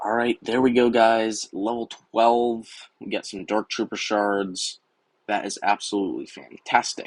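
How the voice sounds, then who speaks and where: A man's medium-pitched, monotone voice with flat intonation, at a fairly slow pace, in a dry, close sound with no echo. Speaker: gaming YouTuber. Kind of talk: gameplay commentary. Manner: casual, filler words.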